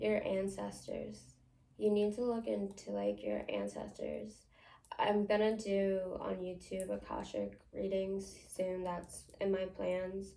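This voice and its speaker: With an American accent, the speaker talks at a very slow pace, and audible room echo surrounds the voice. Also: woman. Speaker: psychic medium. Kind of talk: tarot-style psychic reading to camera. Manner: casual, many filler words.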